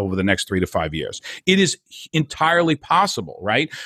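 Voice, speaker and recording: An animated man with a New Jersey accent at a moderate pace, dry and close with no echo, on a very clean recording with a silent background. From New Jersey (Hoboken). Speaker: entrepreneur and network marketer. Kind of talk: interview.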